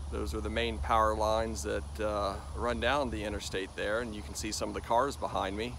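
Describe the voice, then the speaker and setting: Speaking at a fairly quick pace with hardly any pauses, a man with an American accent uses a fairly low pitch, vocal fry, and very wide pitch swings, the sound dry with no echo over light background noise. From Florida, Polk County; Florida. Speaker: outdoor adventure vlogger. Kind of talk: walking vlog narration. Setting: outdoors. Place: open country. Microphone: phone near.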